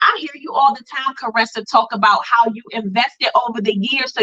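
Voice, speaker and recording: A woman's unremarkable speaking voice, fairly high-pitched, with ordinary pitch variation and a fairly quick pace. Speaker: brand coach, co-host of live class. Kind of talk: live online class talk, personal testimony.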